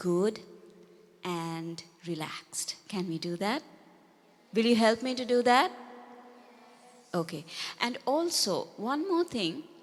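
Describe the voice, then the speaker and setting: With a Sri Lankan accent, a woman speaks in a gentle tone at a fairly high pitch. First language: Sinhala. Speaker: Buddhist nun teacher. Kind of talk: dharma talk to children. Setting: talk to a group of children. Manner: gentle, slow and simple.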